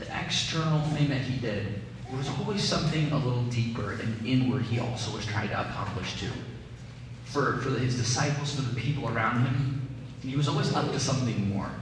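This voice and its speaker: Strong room echo and noticeable background noise surround this recording. A man speaks at a moderate pace with ordinary pitch variation. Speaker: preacher. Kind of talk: sermon. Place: church.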